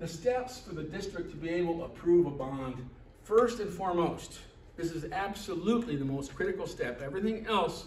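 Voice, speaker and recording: Amid noticeable background noise and audible room echo, a man speaks at a fairly quick pace with a high pitch and ordinary pitch variation. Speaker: presenter at a public meeting. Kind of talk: presentation to a meeting. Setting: meeting hall with audience. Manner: fast; halting, repeated words.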